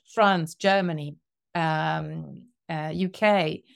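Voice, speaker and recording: A woman speaks with an Italian accent and a fairly even intonation. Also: very clean recording, silent background. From Italy. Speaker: sales enablement consultant. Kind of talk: podcast interview.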